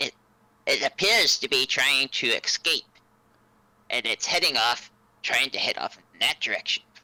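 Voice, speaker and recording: In a put-on character voice at middle pitch, the speaker moves at a moderate pace with long, frequent pauses. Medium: actual play. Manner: calm, plain-spoken.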